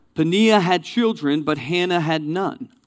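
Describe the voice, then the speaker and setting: On a very clean recording with a silent background, a man speaks at a high pitch with lively intonation. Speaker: guest preacher. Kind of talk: sermon. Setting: church with live translator.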